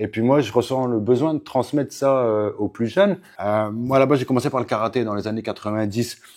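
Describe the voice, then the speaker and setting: The speaker is a man with a medium pitch. He talks at a fairly quick pace with ordinary pitch variation. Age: 40s. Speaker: MMA coach. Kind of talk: casual interview. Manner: hesitant, many fillers.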